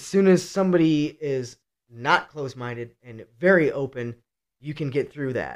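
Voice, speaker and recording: With a Midwestern American accent, a man speaks at a moderate pace and a fairly high pitch. His pitch variation is ordinary, and his loudness swings a lot. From Cleveland, Ohio. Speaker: teacher with psychology degrees. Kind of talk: casual chat.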